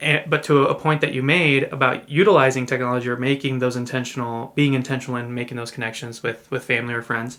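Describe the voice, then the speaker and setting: A man with a bright, sharp tone talks at a very fast pace, his medium pitch held in fairly even intonation. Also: hardly any pauses. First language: Spanish. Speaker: podcast co-host. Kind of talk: casual chat. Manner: halting, with many repeated words.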